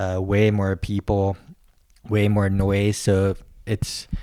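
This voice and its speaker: With an American accent, a man speaks in a dark, mellow tone at a fairly low pitch, his intonation monotone and flat. The recording is very clean, with a silent background. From US West Coast, San Francisco. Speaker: podcast guest. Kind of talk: casual chat.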